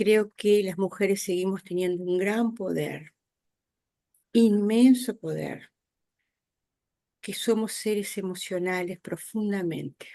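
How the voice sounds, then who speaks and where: Very slowly and with long, frequent pauses, a woman speaks at a medium pitch in a dark, mellow tone with fairly even intonation. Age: 60s. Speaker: audience participant in spiritist talk. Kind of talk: Q&A discussion. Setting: video call.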